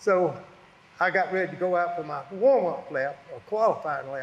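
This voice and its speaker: This man talks with a Southern US accent, his pitch high for a man. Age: 80s+. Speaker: retired racing driver. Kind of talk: storytelling interview. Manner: casual, rambling storytelling.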